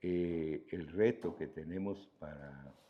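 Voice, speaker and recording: This man's voice has a dark, mellow tone and a very deep, low pitch, with ordinary pitch variation. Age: 70s. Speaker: agricultural engineer in coffee industry. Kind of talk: interview.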